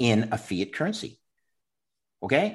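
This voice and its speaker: A man speaks with a Canadian accent and vocal fry. The background is quiet. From Canada. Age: 50s. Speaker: former bond trader and Bitcoin investor. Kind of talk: interview.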